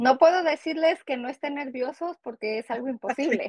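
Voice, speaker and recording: A woman's high-pitched voice at a moderate pace, with ordinary pitch variation and a dry sound with no echo. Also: quiet background. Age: 30s. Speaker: GED graduate and cosmetologist; interviewee. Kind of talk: interview. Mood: proud, encouraging. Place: home room. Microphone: earbuds.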